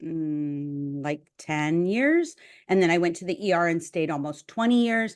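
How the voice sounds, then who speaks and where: In a quiet background, a woman with a normal speaking voice talks at a fairly slow pace in a fairly low pitch. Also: ordinary pitch variation. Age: 60s. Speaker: nurse and podcast co-host. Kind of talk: casual chat.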